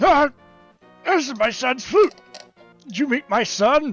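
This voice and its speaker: Faint music sits in the background of a put-on character voice delivered at a fairly slow pace. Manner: tired, frail.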